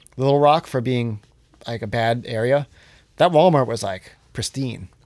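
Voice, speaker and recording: Moderate-paced speech from a man with an American accent at medium pitch, on a very clean recording with a silent background. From Johnstown, Pennsylvania. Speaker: hardcore musician and show promoter. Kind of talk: casual chat. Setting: in person at host's place.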